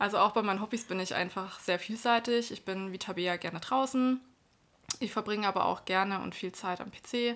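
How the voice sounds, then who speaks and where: Here is an ordinary speaking voice: a woman at medium pitch and a moderate pace with fairly even intonation. The recording is very clean, with a silent background. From Baden-Württemberg, Germany. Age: 30s. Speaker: podcast co-host, self-employed entrepreneur. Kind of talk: casual chat.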